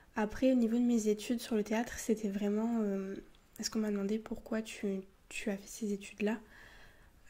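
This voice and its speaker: Fairly high and somewhat breathy, a woman's voice holds a monotone, flat intonation at a fairly slow pace. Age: 20s. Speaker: ASMR youtuber and university student. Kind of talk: casual Q&A talk to camera. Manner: soft-spoken; halting, many fillers.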